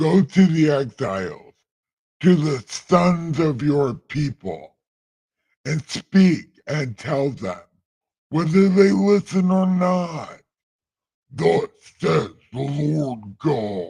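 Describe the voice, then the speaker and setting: A man puts on a booming character voice at a fairly high pitch, going at a very slow pace with long, frequent pauses. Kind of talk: solemn, scriptural.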